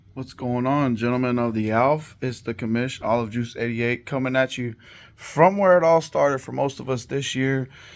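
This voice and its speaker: On a very clean recording with a silent background, a man with a medium pitch and ordinary pitch variation talks in a plain, everyday voice. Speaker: fantasy football league commissioner. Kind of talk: casual recap video. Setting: home basement. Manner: casual with many fillers.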